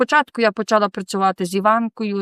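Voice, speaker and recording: The speech comes at a moderate pace with monotone, flat intonation. It sounds dry and close with no echo, in a very clean recording with a silent background. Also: woman. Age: 20s. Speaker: rehab center resident. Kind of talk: testimony. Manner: halting.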